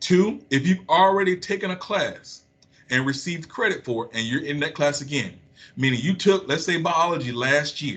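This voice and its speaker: A man talks at a fairly quick pace in a bright, sharp tone with ordinary pitch variation. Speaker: school administrator. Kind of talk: school announcement. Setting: recorded video message. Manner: fast.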